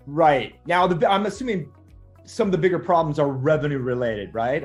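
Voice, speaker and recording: The speaker's intonation stays lively over background music. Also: man. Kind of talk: interview host questions.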